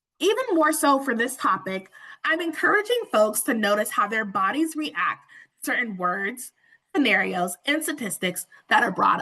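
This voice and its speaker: Raised and projected, a woman's high, bright, sharp voice moves at a moderate pace with very wide pitch swings. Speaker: webinar presenter. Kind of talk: webinar presentation. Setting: online webinar with interpreters.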